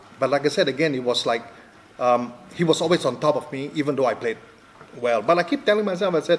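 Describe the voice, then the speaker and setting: Over noticeable background noise, a man with a fairly high pitch and ordinary pitch variation talks at a very fast pace, broken by long, frequent pauses. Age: 60s. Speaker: professional darts player. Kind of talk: interview answer. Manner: hesitant.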